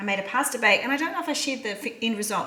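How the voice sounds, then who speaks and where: A woman speaks with an Australian accent. Noticeable background noise and audible room echo are present. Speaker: cooking vlogger. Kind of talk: casual cooking vlog. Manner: fast.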